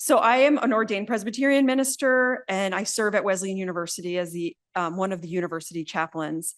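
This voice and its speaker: In an American accent, a woman talks very fast with hardly any pauses. Her pitch is medium and her intonation lively. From New Jersey. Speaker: minister and university chaplain. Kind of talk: lecture. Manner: animated.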